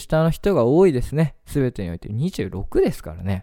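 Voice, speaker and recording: A man with a medium pitch talks over a very clean recording with a silent background. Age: 20s. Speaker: radio host. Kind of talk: casual monologue.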